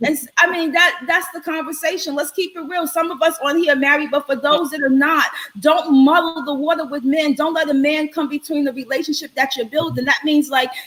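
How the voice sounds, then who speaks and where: A woman speaks loudly at a fairly quick pace and a high pitch, with hardly any pauses. Noticeable background noise runs behind her. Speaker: live show host. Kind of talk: live stream chat with guests. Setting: online live stream. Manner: animated.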